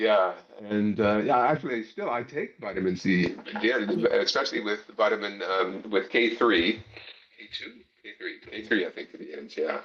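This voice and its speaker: A man with a Mid-Atlantic accent, big swings in loudness, and noticeable background noise. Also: moderate pace. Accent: American, Mid-Atlantic. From US Northeast, Pennsylvania near Philadelphia. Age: 60s. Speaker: gardening video maker. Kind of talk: casual interview chat. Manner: halting, many fillers.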